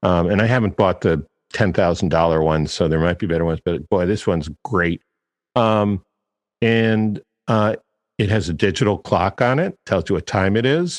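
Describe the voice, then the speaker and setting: A man has a normal speaking voice, fairly low in pitch with ordinary pitch variation, at a moderate pace and very even loudness. The sound is dry and close with no echo, over a quiet background. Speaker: copywriting coach, podcast host. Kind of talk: podcast commentary, reading quotes.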